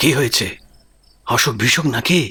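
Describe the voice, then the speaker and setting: A man uses a put-on character voice at medium pitch. It sounds raspy. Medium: audio drama. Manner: familiar, coaxing with rhetorical tags.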